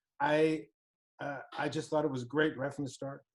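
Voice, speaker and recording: Here a man speaks at a moderate pace. His intonation is fairly even. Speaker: recruiting trainer. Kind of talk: interview.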